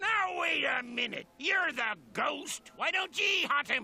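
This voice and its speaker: Slowing to a fairly slow pace, a man performs a put-on character voice at an extremely high pitch. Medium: video game. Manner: gruff, blustering.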